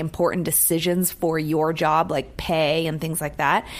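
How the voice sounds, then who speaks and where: A woman with a normal speaking voice and an American accent, fairly low in pitch, at a moderate pace. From San Francisco, US West Coast. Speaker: radio show co-host. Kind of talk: casual chat. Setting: radio studio.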